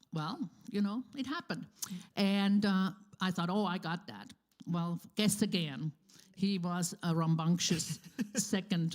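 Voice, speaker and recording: A somewhat breathy woman speaks at a fairly slow pace and medium pitch, with ordinary pitch variation and long, frequent pauses. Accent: non-native. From Switzerland. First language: Swiss German. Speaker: church member. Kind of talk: interview. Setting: church. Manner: halting.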